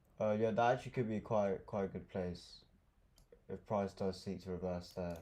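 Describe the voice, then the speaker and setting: At a moderate pace, a man speaks in a fairly low, dark and mellow voice with fairly even intonation. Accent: London. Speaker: day trader. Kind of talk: live trading tutorial. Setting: livestream. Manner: quiet; casual. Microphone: too quiet at first.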